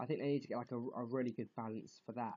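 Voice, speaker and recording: Fairly even intonation in a British accent. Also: man. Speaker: gaming youtuber. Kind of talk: casual vlog commentary. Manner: halting.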